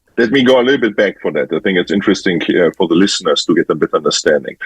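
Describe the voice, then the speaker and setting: A man speaks in a German accent. The sound is dry and close, with no echo. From Germany. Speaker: photographer. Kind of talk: interview. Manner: halting.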